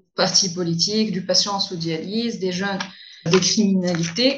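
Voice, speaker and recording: A woman speaks at a fairly slow pace in a medium pitch, her voice somewhat breathy and her intonation fairly even. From Tunisia. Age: young. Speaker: young lawyer. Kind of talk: interview.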